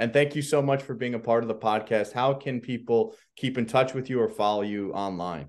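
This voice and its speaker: A man with an ordinary speaking voice, medium pitch and ordinary pitch variation, talking at a fairly quick pace with hardly any pauses over a quiet background. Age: 40s. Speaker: podcast host. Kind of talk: interview.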